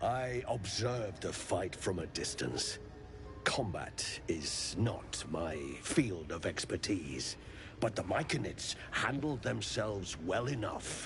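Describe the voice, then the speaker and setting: A man's put-on character voice at a fairly low pitch, heard over loud background noise. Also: fairly slow pace. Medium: video game.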